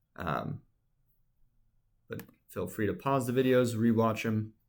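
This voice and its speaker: A man talks at a moderate pace and a medium pitch in an ordinary speaking voice. The recording is very clean, with a silent background. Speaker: instructor. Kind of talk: tutorial.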